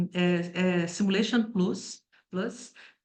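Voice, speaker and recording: Audible room echo colors a woman's voice, whose pitch varies in an ordinary way. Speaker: toxicology professor. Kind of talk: lecture. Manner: hesitant with fillers.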